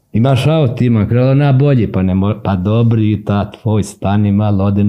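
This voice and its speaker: Dark, mellow tone at a fairly slow pace, with ordinary pitch variation. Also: man. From Serbia, Sandžak (Novi Pazar). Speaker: writer and poet. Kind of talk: casual interview.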